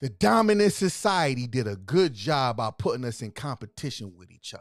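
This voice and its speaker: Shouting in an animated tone, a man with a medium pitch keeps a moderate pace. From US Northeast, Philadelphia. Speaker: livestream host. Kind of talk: livestream talk to viewers. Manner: yelling, loud; repetitive, animated.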